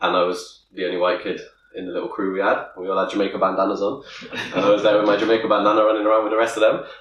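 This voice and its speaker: Amid audible room echo, a man speaks at a very fast pace. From Bristol, England (St Paul's). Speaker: podcast co-host, father. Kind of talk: casual chat.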